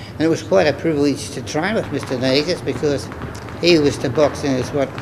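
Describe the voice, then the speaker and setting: With an Australian accent, a man talks fairly quickly in a fairly high voice with ordinary pitch variation. Background noise is noticeable. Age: 80s+. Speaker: former boxer. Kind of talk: interview answer.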